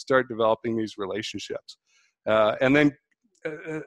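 A man's unremarkable speaking voice at a moderate pace with ordinary pitch variation, in a dry, close sound with no echo and a quiet background. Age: 40s. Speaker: process engineering consultant. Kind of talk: online panel talk.

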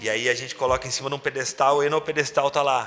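A man with a medium-pitched voice speaks very fast in a flat monotone over noticeable background noise. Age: 30s. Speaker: tattoo artist and convention organizer. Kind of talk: casual chat. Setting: tattoo studio.

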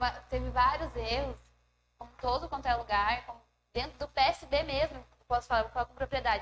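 A woman speaks at a moderate pace. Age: 20s. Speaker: youth political party leader. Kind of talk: live panel discussion.

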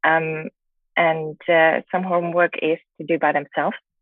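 A woman speaks with a German accent. Her pitch is very deep and low. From Germany. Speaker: relationship coach. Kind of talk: interview. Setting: hotel room in quarantine.

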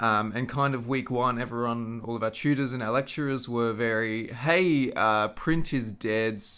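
A man speaks with an Australian accent in a medium pitch. His tone is bright and sharp, with ordinary pitch variation. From Queensland, Australia. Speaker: social media manager. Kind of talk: interview.

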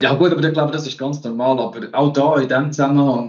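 A man's normal speaking voice at medium pitch, with fairly even intonation. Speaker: finance podcast host. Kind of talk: casual chat.

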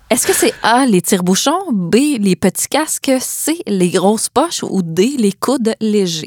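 Speaking very slowly with hardly any pauses, a woman keeps her loudness very even while her fairly high voice swings very widely in pitch, in a dry, close sound with no echo. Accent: Quebec. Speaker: podcast host. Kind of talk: casual interview.

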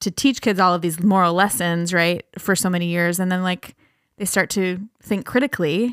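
A woman talks at a moderate pace with a Minnesota accent and fairly even intonation. The sound is dry and close with no echo, on a very clean recording with a silent background. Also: medium pitch for a woman. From Minnesota (Breckenridge). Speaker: podcast host, sociology instructor. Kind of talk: casual chat.

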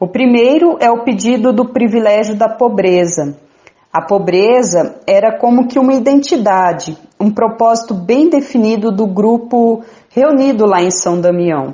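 A woman has a plain, everyday voice with a fairly high pitch. Her intonation is lively while her loudness stays very even. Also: fairly slow pace. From Mato Grosso do Sul, Brazil (Bataiporã). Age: 30s. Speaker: Franciscan nun. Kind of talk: radio interview.

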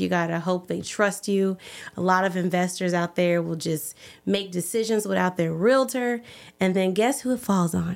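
At a moderate pace, a woman talks in a medium pitch with fairly even intonation. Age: young. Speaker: realtor and pageant winner. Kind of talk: casual chat. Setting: studio.

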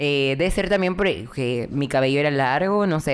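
Her voice is very deep and low for a woman, moving at a fairly quick pace with ordinary pitch variation. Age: 20s. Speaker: content creator. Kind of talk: casual chat. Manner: talkative.

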